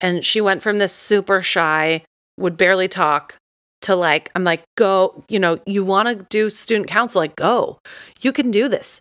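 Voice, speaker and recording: With an American accent, a woman speaks at a fairly slow pace in a bright, sharp tone. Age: 30s. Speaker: teacher and podcast co-host. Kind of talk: casual chat.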